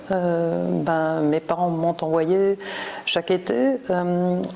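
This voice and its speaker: Speaking very slowly in a German accent, a woman uses a fairly low pitch against noticeable background noise. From Germany, northern Bavaria (Würzburg). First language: German (speaking French). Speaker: professor of Romance literature. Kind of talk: interview. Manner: hesitant, many fillers.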